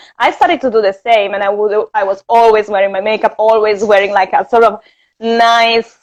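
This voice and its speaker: Speaking at a fairly quick pace, a woman with a slight Italian accent keeps a fairly high pitch and fairly even intonation. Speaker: interview guest. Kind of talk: casual chat. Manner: hesitant, many fillers.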